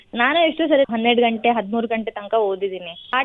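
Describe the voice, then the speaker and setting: A woman's fairly high voice carries lively intonation over noticeable background noise. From Hassan, Karnataka, India. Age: 20s. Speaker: agriculture graduate, gold medalist. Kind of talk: radio interview.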